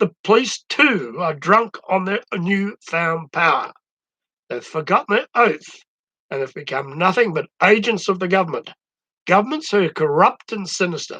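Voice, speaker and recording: A man with an Australian accent uses a raised, projected voice at a high pitch, with a bright, sharp tone and lively intonation at a moderate pace. The sound is dry and close with no echo, against a quiet background. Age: 70s. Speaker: social commentator. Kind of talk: opinion monologue.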